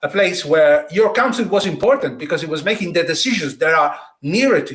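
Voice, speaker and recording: A man speaks with an Italian accent in a high pitch. His pace is moderate and his intonation lively. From Italy, Tuscany. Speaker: political podcast host. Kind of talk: political discussion.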